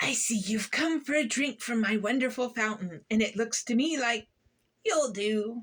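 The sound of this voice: A woman puts on a character voice that is shrill and fairly high. Her loudness stays very even at a moderate pace.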